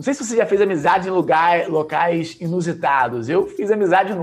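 A man with a high pitch talks at a moderate pace. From Brazil, Minas Gerais. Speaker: entrepreneur. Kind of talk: casual chat.

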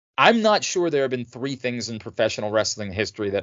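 A man speaks in an animated tone. His pitch variation is ordinary. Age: 40s. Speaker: wrestling podcast host. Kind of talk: casual chat.

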